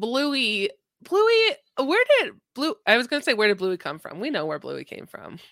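A woman at a moderate pace, her loudness swinging widely. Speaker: podcast host. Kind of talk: casual chat.

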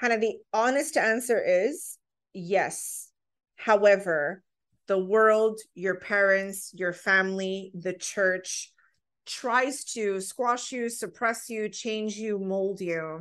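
A woman at a very slow pace and medium pitch, ordinary pitch variation, quiet background. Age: 30s. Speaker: oracle deck creator and podcaster. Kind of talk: casual chat. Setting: video call.

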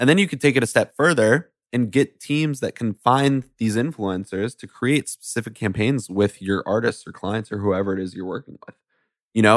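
A man with a normal speaking voice talks at a fairly quick pace and a medium pitch, with ordinary pitch variation and big swings in loudness, on a very clean recording with a silent background and a dry, close sound with no echo. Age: 20s. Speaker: music business entrepreneur. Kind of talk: interview conversation.

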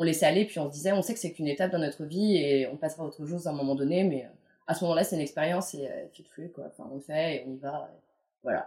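Very deep and low in pitch, a woman's voice has a dark, mellow tone and ordinary pitch variation as she talks at a very fast pace. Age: late 20s. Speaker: freelance visual producer. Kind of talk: casual interview. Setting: at home. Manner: hesitant, many fillers.

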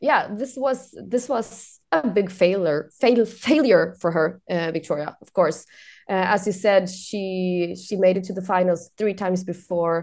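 Against a quiet background, a woman with a Swedish accent talks at a fairly slow pace and a medium pitch, with ordinary pitch variation and big swings in loudness. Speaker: journalist. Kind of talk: casual chat.

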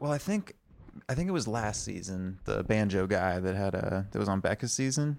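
A moderate pace and ordinary pitch variation. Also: man, fairly low pitch for a man. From Texas (Austin). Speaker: podcast co-host. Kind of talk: casual chat. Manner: quiet, subdued.

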